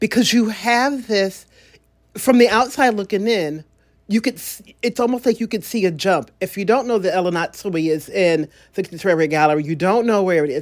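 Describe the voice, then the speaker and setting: An ordinary speaking voice moves at a fairly quick pace on a very clean recording with a silent background. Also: woman, medium pitch for a woman, lively intonation. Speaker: podcast host. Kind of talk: interview, scripted intro and casual conversation.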